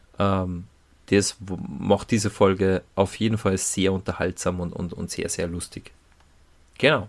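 Very deep and low in pitch, a man speaks at a fairly slow pace, leaving long, frequent pauses. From Salzburg, Austria. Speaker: podcast co-host. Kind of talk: casual chat. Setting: studio.

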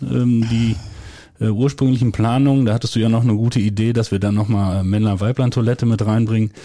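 Keeping very even loudness, a man with an unremarkable speaking voice and medium pitch talks at a fairly quick pace with fairly even intonation. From Westphalia, Germany (near Soest). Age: 40s. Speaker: village head. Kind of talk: casual chat. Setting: at a kitchen table, in a home.

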